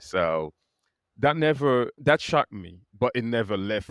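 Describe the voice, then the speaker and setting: Spoken in a Haitian accent, the voice comes through a very clean recording with a silent background and a dry, close sound with no echo. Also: man. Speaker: attorney. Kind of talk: podcast interview answer.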